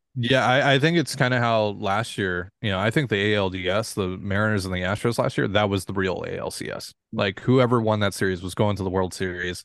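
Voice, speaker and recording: With an American accent and an unremarkable speaking voice, a man talks at a fairly quick pace and fairly low pitch, with ordinary pitch variation against a quiet background. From Washington State, US. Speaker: sports podcast host. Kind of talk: casual chat.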